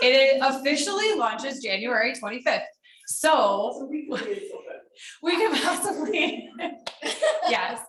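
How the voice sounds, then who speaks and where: A woman speaks loudly with very wide pitch swings. Audible room echo surrounds her voice. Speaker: food bank program staff presenter. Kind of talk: presentation Q&A at a lunch meeting.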